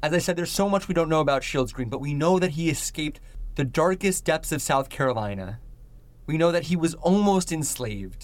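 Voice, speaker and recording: This man has an ordinary speaking voice, fairly high in pitch, with lively intonation. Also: fairly quick pace. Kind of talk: dramatic narration. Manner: solemn, hushed storytelling pace with building tension.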